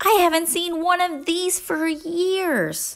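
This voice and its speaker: A woman speaks in a put-on character voice. It is squeaky, with an extremely high pitch. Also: fairly slow pace. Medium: read story. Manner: cheerful, affectionate.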